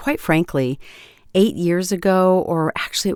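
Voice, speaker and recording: A woman with a plain, everyday voice speaks at a medium pitch and moderate pace on a very clean recording with a silent background and a dry, close sound with no echo. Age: 60s. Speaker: podcast host and voice coach. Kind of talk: solo podcast talk. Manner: conversational.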